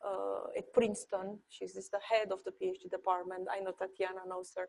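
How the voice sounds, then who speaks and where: Speaking at a fairly quick pace with a Romanian accent, a woman sounds dry and close, with no echo. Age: 40s. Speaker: architecture professor. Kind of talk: panel discussion. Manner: halting.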